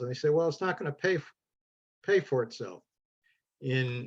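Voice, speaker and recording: Speaking with a Midwestern US accent, a man with a fairly high pitch moves at a fairly quick pace with lively intonation. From Ohio. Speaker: congregation board president, solar project panelist. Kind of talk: panel presentation. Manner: halting, many fillers.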